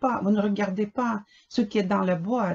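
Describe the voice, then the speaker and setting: A woman speaks in an ordinary speaking voice at medium pitch. Her pace is moderate. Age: 60s. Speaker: dissatisfied customer reviewing a product. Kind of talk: product complaint video. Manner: indignant.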